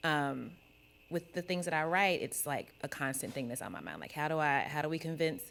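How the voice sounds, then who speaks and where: In a Kentucky accent, a woman speaks with a very deep, low pitch. Her intonation stays fairly even at a moderate pace. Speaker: podcast co-host on a panel. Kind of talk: panel discussion. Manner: casual, filler-heavy.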